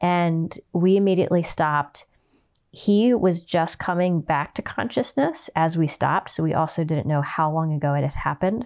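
A woman with a normal speaking voice talks at a moderate pace, her pitch fairly low with ordinary variation and her loudness very even. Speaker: horse trainer and podcast host. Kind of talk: casual interview conversation.

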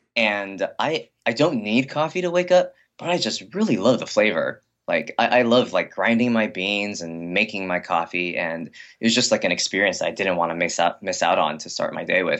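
A man in a Californian accent at medium pitch and a moderate pace, with very wide pitch swings and hardly any pauses. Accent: Californian American English. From Los Angeles area, US. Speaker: shoe company founder. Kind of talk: interview conversation. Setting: internet call.

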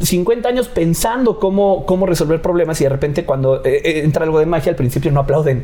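Over noticeable background noise, a man with a high pitch talks at a fairly quick pace with lively intonation, very even loudness and hardly any pauses. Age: 30s. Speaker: magician. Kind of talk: casual chat.

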